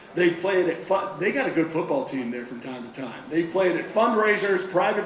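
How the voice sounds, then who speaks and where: High-pitched man at a moderate pace, with audible room echo and noticeable background noise. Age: 60s. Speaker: TV news anchor hosting talent show. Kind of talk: live emcee hosting with jokes. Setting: theater stage with audience. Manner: animated.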